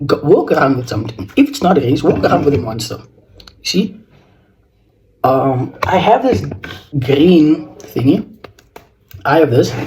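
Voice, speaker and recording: With a South African accent, a man talks at a moderate pace in a fairly high pitch with lively intonation and long, frequent pauses. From South Africa, George in the Western Cape. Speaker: fashion vlogger. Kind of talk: casual fashion tutorial vlog. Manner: halting.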